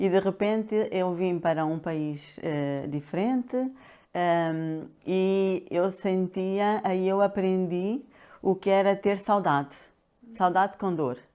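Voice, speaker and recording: On a very clean recording with a silent background, a woman speaks at medium pitch in a dark, mellow tone. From Angola (Luanda). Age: 60s. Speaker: pharmacist and coach. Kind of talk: interview. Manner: hesitant, many fillers.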